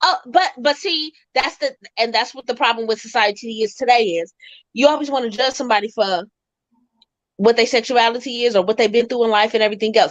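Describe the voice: Moving at a fairly quick pace, a woman speaks at a fairly high pitch with ordinary pitch variation.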